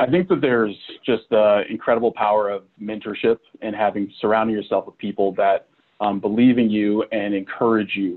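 Fairly low-pitched male voice with a Midwestern American accent. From Kansas (Manhattan). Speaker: university fundraising director. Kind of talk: interview. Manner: animated.

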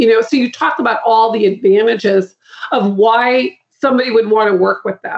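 A woman with an American accent has a normal speaking voice. She talks at a fairly quick pace and a fairly high pitch. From Boston. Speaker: guest, marketing and referral consultant. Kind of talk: interview conversation.

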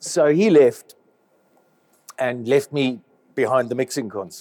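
Pausing long and often, a man of medium pitch speaks fairly slowly in a dark, mellow tone with lively intonation. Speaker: live sound engineer. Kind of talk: interview.

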